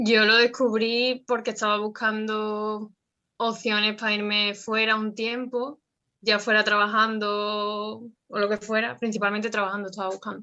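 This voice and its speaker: Against a quiet background, a woman with a fairly high pitch and a bright, sharp tone speaks slowly in a monotone, flat way. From Andalusia, Jerez. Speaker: former volunteer. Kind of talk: interview.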